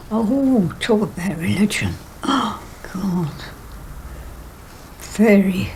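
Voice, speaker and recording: A woman speaks at a very slow pace with long, frequent pauses, her medium-pitched voice carrying lively intonation. The room echo is audible and background noise is noticeable. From England (London), emigrated from Poland as small child. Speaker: care home resident. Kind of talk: interview.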